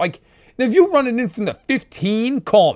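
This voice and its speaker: Speaking at a moderate pace, a man with an American accent has an extremely high pitch. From New York. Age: 30s. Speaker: football podcast host. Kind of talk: casual chat.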